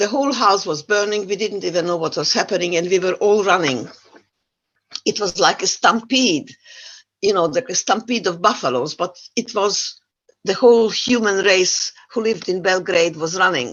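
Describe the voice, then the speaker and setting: A woman speaks with a non-native accent at a moderate pace. Her pitch is medium with ordinary variation. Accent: foreign accent in English. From Yugoslavia. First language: not English. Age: 80s+. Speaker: Holocaust survivor speaker. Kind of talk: testimony. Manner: halting.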